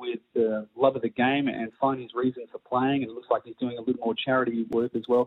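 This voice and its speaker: A man's medium-pitched voice with an Australian accent, fairly quick pace and fairly even intonation. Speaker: tennis coach. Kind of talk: phone interview. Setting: phone call.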